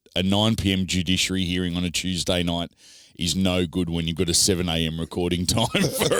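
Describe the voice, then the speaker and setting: This man speaks in an Australian accent with a very deep, low pitch. His pace is fairly quick. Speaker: rugby league podcast host. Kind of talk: casual podcast chat. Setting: studio.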